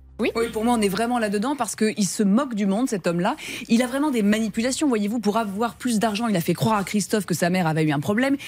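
Very fast and very even in loudness, a woman speaks at a fairly high pitch. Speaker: lawyer. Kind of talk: radio consumer advice. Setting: studio. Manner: indignant.

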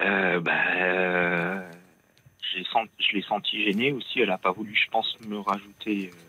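A man talks fairly slowly at a fairly low pitch with fairly even intonation. Noticeable background noise runs underneath. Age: 40s. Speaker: radio caller. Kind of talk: phone-in testimony.

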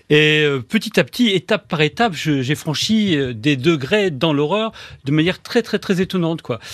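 This man has a fairly high pitch and lively intonation, speaking at a fairly slow pace. The sound is dry and close with no echo, over a quiet background. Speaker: journalist and author. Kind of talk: interview.

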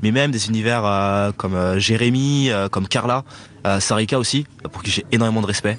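There is noticeable background noise. A man speaks with a fairly low pitch. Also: ordinary pitch variation, moderate pace. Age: 20s. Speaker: chef. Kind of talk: interview.

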